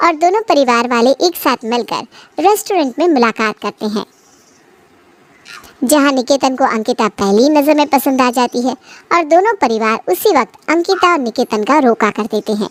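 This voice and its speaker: A woman puts on a cartoonish character voice with a high pitch and lively intonation. She speaks at a moderate pace in a dry, close sound with no echo. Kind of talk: bedtime story. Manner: smooth, steady narration.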